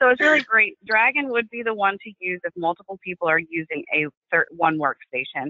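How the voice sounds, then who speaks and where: A woman with a medium pitch speaks at a fairly quick pace, with big swings in loudness and very wide pitch swings. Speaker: assistive technology specialist. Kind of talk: webinar presentation.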